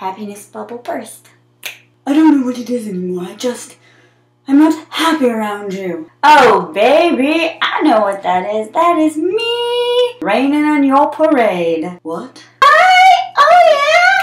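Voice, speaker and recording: Speaking at a very slow pace, a woman uses a high pitch with very wide pitch swings and big swings in loudness. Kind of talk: comedic monologue to camera. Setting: bathroom, built-in mic.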